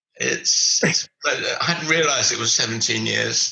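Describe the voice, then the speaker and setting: A man with an English accent speaks at a very slow pace. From England. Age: 80s+. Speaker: retired business mentor. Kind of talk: interview. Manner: halting.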